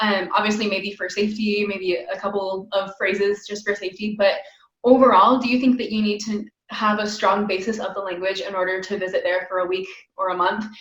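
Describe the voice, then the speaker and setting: An unremarkable speaking voice with an American accent moves at a fairly quick pace, its intonation fairly even. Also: woman, medium pitch for a woman. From United States. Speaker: podcast host. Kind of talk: interview. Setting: video call.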